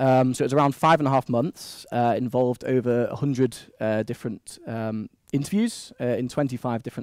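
A man with a Manchester accent, ordinary pitch variation, a dry sound with no echo, and a quiet background. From Manchester, England. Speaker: postdoc researcher presenting at a seminar. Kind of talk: academic presentation. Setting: seminar room with microphone. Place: meeting room.

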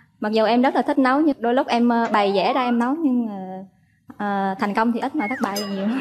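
A woman rattles along at a very fast pace, her fairly high pitch showing ordinary pitch variation. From Vietnam. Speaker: office worker. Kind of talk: dating show conversation. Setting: studio with audience.

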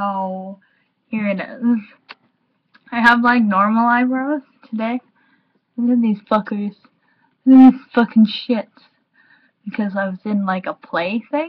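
At a fairly slow pace, a woman with a fairly high, somewhat breathy voice speaks with ordinary pitch variation, big swings in loudness and long, frequent pauses. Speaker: YouTuber vlogger. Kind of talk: casual vlog. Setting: home, recording via webcam. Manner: slurred, impaired articulation.

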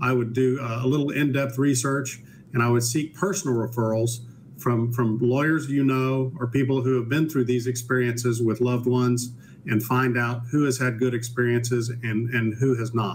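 Over light background noise, a man speaks at a moderate pace. His somewhat breathy voice keeps a fairly even intonation. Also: very even loudness. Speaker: guest. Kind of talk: interview answer. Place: home room.

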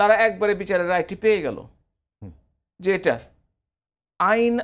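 A man's high-pitched, monotone, flat voice against a quiet background. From Bangladesh. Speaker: professor and former member of parliament; professor. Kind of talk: TV talk show debate. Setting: TV studio. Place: studio. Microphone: lapel.

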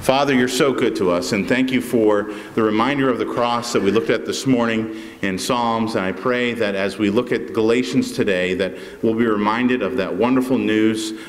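A man at a moderate pace, with ordinary pitch variation. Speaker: pastor. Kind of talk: church announcements and prayer. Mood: warm and grateful. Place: church. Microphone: podium.

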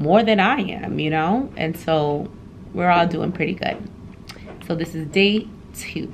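A woman with an ordinary speaking voice talks at a fairly slow pace and fairly low pitch. Her pitch varies in an ordinary way, with light background noise. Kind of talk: casual vlog chat. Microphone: phone near.

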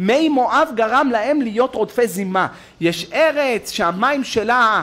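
A man's bright, sharp voice, with lively intonation and a very slow pace. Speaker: religious lecturer. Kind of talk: sermon. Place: church. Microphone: podium.

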